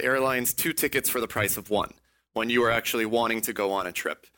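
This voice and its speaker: A man's bright, sharp tone comes through in an American accent. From Texas. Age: 30s. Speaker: entrepreneur. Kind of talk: interview.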